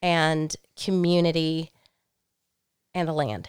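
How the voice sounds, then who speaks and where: A woman with a Southern US accent speaks at a fairly low pitch. The recording is very clean, with a silent background. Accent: Southern US (Georgia). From US South, rural Georgia mountains. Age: 40s. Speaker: farmer. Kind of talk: casual chat. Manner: loud.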